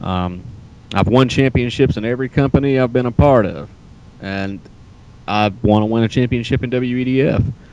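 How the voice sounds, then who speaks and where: Moderate pace with long, frequent pauses. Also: man, medium pitch for a man, ordinary pitch variation. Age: 30s. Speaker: pro wrestler. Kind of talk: interview.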